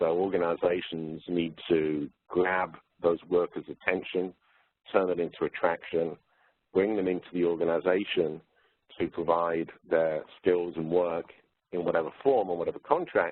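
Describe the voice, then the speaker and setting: Someone with a British accent talks at a moderate pace with fairly even intonation. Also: man, very deep, low pitch for a man. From UK. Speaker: workforce consultant. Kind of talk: webinar presentation. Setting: webinar. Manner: hesitant, with fillers.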